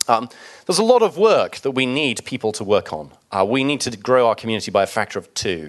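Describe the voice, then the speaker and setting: At a very fast pace, a man with a medium pitch makes very wide pitch swings against a quiet background. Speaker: software developer presenter. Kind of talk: conference talk.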